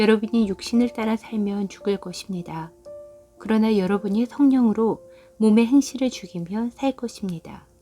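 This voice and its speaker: Music plays in the background as a woman talks at a moderate pace with ordinary pitch variation. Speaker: devotional scripture reader. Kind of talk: Bible scripture reading for meditation.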